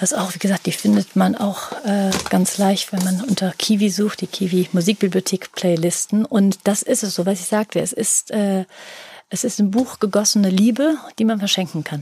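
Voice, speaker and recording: A woman talks at medium pitch and a moderate pace, somewhat breathy, with a dark, mellow tone. Her pitch varies in an ordinary way, and the sound is dry and close with no echo. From Rhineland, Germany (Langenfeld). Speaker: publisher. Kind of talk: interview.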